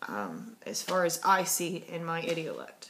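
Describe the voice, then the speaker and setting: Noticeable background noise surrounds a woman speaking at a fairly low pitch. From US South. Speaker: linguistics student. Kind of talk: homework video monologue. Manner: casual, hesitant with fillers.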